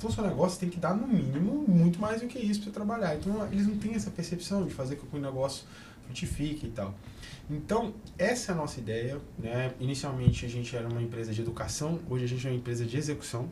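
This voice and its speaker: Amid noticeable background noise and audible room echo, a man talks at a very fast pace. His fairly high voice makes very wide pitch swings. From Brasília, Brazil. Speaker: entrepreneur and business mentor. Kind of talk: podcast interview.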